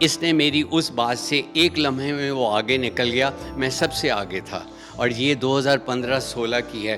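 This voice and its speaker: Music plays in the background as a man of medium pitch talks with ordinary pitch variation. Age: 70s. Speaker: cyclist. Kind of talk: interview answer.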